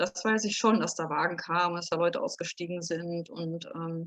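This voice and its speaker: At a moderate pace, a woman speaks in a dry, close sound with no echo. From Berlin. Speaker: contemporary witness. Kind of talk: interview answer. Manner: hesitant, casual.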